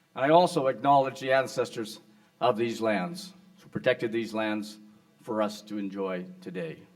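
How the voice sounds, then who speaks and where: An ordinary speaking voice moves at a moderate pace with lively intonation. Its loudness swings widely. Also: man, medium pitch for a man. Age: 60s. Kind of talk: award acceptance speech. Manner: formal.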